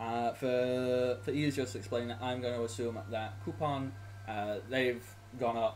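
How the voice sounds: A man speaks at a medium pitch. His pace is fairly slow and his intonation fairly even.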